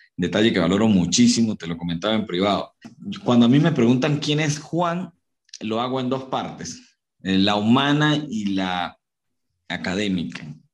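A man talks at a moderate pace with medium pitch. His pitch swings very widely. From Venezuela, Barinas. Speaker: motivational speaker. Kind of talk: interview. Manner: animated.

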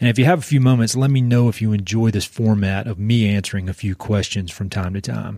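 In a North Carolina accent, a man with a dark, mellow tone and a fairly low pitch talks at a very fast pace with hardly any pauses. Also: ordinary pitch variation. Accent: North Carolina Southern. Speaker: podcast host and conservation director. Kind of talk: podcast interview, casual chat. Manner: halting, filler-heavy.

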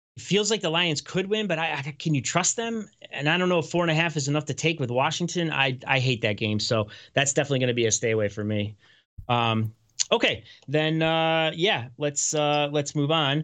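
At a fairly quick pace, a man with a fairly high pitch and lively intonation speaks in an ordinary speaking voice against a quiet background. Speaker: sports betting podcast host. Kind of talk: casual chat. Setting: video show. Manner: casual, chatty.

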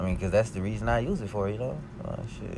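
A man talks at a fairly quick clip, his voice carrying audible room echo. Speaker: podcast host. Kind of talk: casual monologue. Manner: fast; animated.

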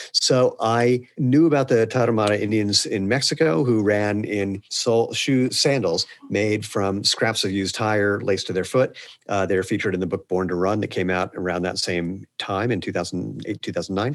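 A man with a plain, everyday voice and a fairly low pitch talks at a moderate pace with hardly any pauses and ordinary pitch variation. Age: 50s. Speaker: shoe company founder and CEO. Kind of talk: interview conversation.

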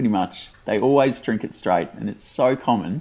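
Medium pitch and moderate pacing from a man in an Australian accent. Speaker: podcast co-host. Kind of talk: casual chat.

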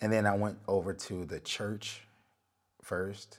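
Fairly slow pace from a male speaker. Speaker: solo podcaster recounting spiritual experiences. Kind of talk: personal storytelling monologue. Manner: halting, long pauses.

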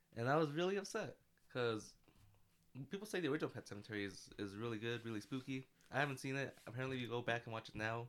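A man talks at a very fast pace with long, frequent pauses. His medium pitch shows ordinary variation. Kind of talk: casual chat.

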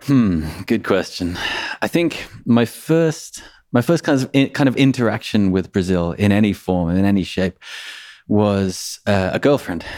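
A man speaks at a fairly low pitch with lively intonation. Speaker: podcast editor. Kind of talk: casual interview conversation. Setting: remote call. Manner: fast talker.

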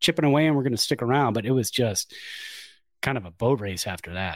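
On a very clean recording with a silent background, a man talks fairly quickly in an ordinary speaking voice with ordinary pitch variation. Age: 40s. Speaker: baseball podcast co-host. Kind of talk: casual chat.

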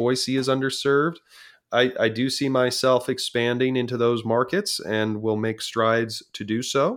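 A medium-pitched man with a Californian accent, fairly even intonation, and a moderate pace, in a very clean recording with a silent background. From Southern California. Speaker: auctioneer. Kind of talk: interview.

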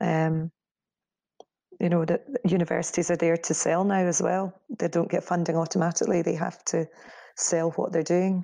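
A woman with a Scottish accent speaks at a fairly low pitch in a dark, mellow tone and monotone, flat intonation. Her loudness stays very even, with long, frequent pauses. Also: moderate pace. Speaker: media company co-founder. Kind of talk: interview. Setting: remote call.

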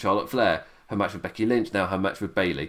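This is a man talking. He speaks with a British accent. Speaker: wrestling podcast host. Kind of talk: solo review monologue. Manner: halting.

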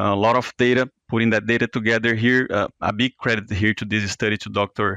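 A bright, sharp voice with a Portuguese accent moves at a fairly quick pace, with hardly any pauses and flat, monotone intonation. The sound is dry and close with no echo, over a quiet background. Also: man, medium pitch for a man. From Brazil. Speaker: veterinary researcher. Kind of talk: interview. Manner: halting, frequent fillers.

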